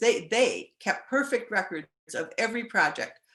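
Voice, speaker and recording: Her pitch swings very widely. The woman has an American accent. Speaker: former volunteer giving a talk. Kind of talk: illustrated talk with slides. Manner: halting.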